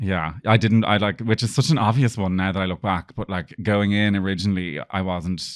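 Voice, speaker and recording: Hardly any pauses break this fairly quick delivery in an Irish accent, with ordinary pitch variation. The recording is very clean, with a silent background. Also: man, fairly low pitch for a man. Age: 30s. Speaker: PR business owner. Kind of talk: casual interview chat.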